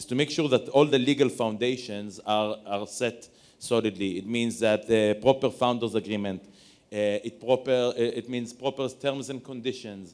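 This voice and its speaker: With an Israeli accent, a man at medium pitch speaks at a moderate pace with fairly even intonation. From Israel, Tel Aviv. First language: Hebrew. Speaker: lawyer. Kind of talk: panel discussion.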